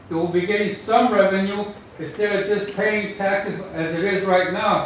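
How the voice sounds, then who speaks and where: Noticeable background noise and audible room echo surround a man speaking at a high pitch with fairly even intonation. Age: 70s. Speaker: public commenter at community meeting. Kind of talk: public comment at meeting.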